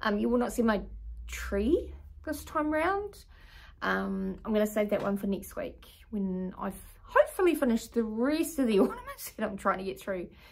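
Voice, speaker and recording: A New Zealand accent comes through. The speaking pace is moderate. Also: woman. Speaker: craft vlogger. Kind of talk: casual show-and-tell video.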